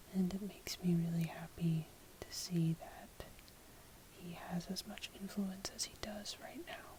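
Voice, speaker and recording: Whispering comes with long, frequent pauses, and noticeable background noise lies beneath. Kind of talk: casual ramble to camera, low-light ASMR style. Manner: soft-spoken, casual.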